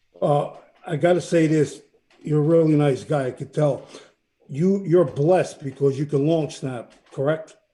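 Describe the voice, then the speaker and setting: A man talks at a fairly high pitch and moderate pace, his tone dark, mellow and somewhat breathy, with fairly even intonation. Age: 60s. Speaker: sports show co-host, former football player and coach. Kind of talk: casual chat.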